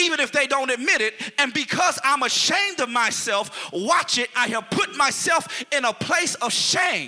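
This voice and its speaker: An animated man's extremely high voice with lively intonation, very even loudness, a moderate pace and hardly any pauses, over music in the background. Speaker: preacher. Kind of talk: sermon preached live to a responding congregation. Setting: church with congregation. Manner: animated, call-and-response, pulpit-style exhortation with rising intensity; rhetorical, repeating phrases for emphasis, with humor.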